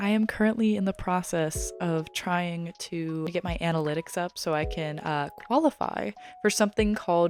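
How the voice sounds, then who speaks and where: A woman talks in an unremarkable speaking voice at a medium pitch. Her pitch variation is ordinary. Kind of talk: ASMR unboxing haul, casual talk to camera. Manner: soft-spoken, gentle, chatty.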